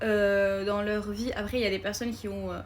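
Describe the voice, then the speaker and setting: With a somewhat breathy voice pitched fairly high, a woman talks at a moderate speed in a monotone, flat intonation. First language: not French (speaking French). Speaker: film content creator. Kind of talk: casual vlog. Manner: hesitant, many fillers.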